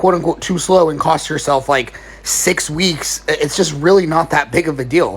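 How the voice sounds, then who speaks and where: Through noticeable background noise, a man talks at a fairly quick pace with a high pitch and fairly even intonation. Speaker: fitness coach. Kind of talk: Q&A video answering viewer questions. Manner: fast; casual.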